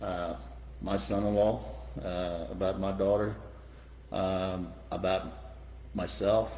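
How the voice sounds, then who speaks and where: A man speaks in a very deep, low voice with a dark, mellow tone and vocal fry. His intonation is lively, and room echo is audible. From Iran. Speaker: real estate developer. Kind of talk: interview. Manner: halting, many fillers.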